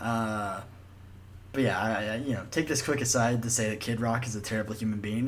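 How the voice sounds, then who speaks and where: A man with an American accent talks at a fairly quick pace and medium pitch, with audible room echo. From Alabama, US South. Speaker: podcast host. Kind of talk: casual chat.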